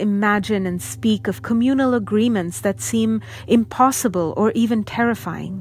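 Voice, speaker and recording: Music plays behind a woman as she speaks. Her intonation is lively. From outside the US, immigrant. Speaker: artist and educator giving a speech. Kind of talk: spoken word address. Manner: formal.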